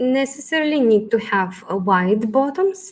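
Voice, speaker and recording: A woman speaks with a non-native accent. Her pace is very slow, and her intonation is lively. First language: not English. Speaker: fashion stylist. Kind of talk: live Q&A. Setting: livestream. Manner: halting.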